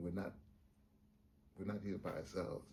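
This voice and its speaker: The voice moves at a fairly quick pace, with a dark, mellow, somewhat breathy tone. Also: man. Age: 70s. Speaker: veteran theater actor. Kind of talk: documentary interview.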